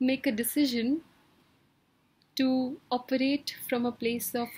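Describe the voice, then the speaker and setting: The pace is very slow. This woman keeps a fairly even intonation. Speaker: wellbeing coach. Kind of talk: motivational talk. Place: home room. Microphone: webcam.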